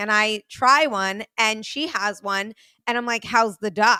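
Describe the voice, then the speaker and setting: A woman speaks with a New York accent at a fairly high pitch, her tone bright and sharp. The recording is very clean, with a silent background. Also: dry, close sound with no echo. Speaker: podcast host. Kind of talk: casual chat. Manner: blunt, forceful delivery.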